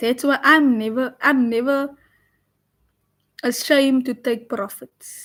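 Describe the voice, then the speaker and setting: Speech comes at a very slow pace, broken by long, frequent pauses, with fairly even intonation. The recording is very clean with a silent background. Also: woman, high pitch for a woman. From South Africa, Cape Town. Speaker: forex trader and live streamer. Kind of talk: live stream trading commentary. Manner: casual, chatty.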